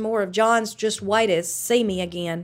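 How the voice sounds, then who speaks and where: Recorded very cleanly against a silent background, a woman with a Southern US accent talks at a moderate pace. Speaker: former town clerk. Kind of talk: interview.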